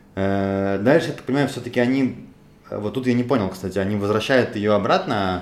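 A man speaks at a fairly quick pace in a fairly low pitch with ordinary pitch variation. Noticeable background noise and audible room echo fill the recording. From Russia, Moscow. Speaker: podcast host. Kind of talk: casual discussion.

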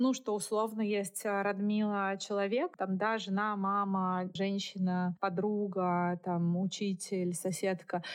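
The delivery is very slow and monotone, with flat intonation and very even loudness. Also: woman, medium pitch for a woman. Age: 40s. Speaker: author and podcaster. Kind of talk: interview conversation. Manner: hesitant fillers.

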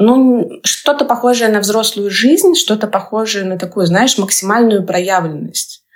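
A woman with an ordinary speaking voice and fairly high pitch talks at a fairly slow pace with lively intonation and hardly any pauses. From Russia, Samara. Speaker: life coach and mountaineer. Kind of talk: podcast interview.

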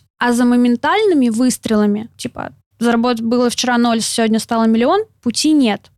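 A high-pitched woman at very even loudness, in a dry, close sound with no echo. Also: ordinary pitch variation, moderate pace. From Siberia, Novosibirsk. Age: 20s. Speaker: entrepreneur and blogger. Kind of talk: interview.

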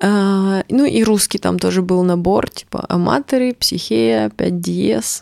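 A woman at a very slow pace, in a dry, close sound with no echo. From Russia, Urals (Chelyabinsk). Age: 30s. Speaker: musician. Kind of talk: casual chat.

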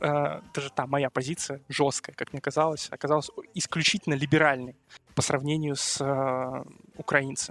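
Flat, monotone delivery at a moderate pace in a dry, close sound with no echo. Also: man, fairly high pitch for a man. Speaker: university student. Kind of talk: casual chat.

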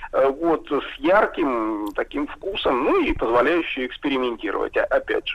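A man talks at a fairly slow pace, with noticeable background noise present. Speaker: food historian. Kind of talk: casual chat.

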